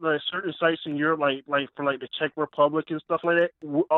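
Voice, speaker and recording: A man talks at a fairly quick pace with hardly any pauses. He has an unremarkable speaking voice and a fairly high pitch. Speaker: caller. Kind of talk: casual chat. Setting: phone call.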